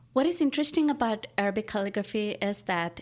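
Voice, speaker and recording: In a very clean recording with a silent background, a woman of medium pitch speaks at a fairly quick pace with lively intonation. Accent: Pakistani. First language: Urdu. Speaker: artist and writer. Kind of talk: interview. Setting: at her home.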